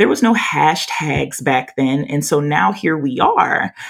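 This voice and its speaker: A loud woman at a fairly slow pace, with an American accent and very wide pitch swings. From Louisiana, US South. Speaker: podcast host and behavior analyst. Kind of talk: casual conversation about anti-racism. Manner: loud, talkative.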